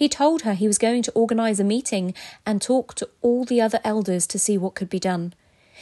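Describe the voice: The speaker is plainly reading aloud with ordinary pitch variation.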